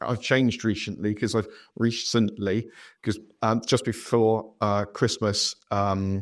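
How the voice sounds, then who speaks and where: On a very clean recording with a silent background, a man with a West Country accent speaks at medium pitch with fairly even intonation. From southwest England. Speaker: podcast host. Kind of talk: casual chat.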